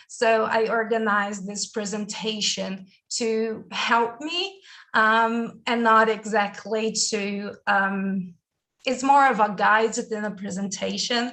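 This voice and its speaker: Very slowly, a woman with a Brazilian accent speaks at a fairly high pitch in a bright, sharp tone with fairly even intonation. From Brazil, big city. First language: Portuguese. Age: 20s. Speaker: university student. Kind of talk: presentation in online session. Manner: hesitant, many fillers.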